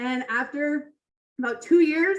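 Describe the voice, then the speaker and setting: Loud and animated, a woman talks at a moderate pace with ordinary pitch variation. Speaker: toastmasters club speaker. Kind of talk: prepared speech.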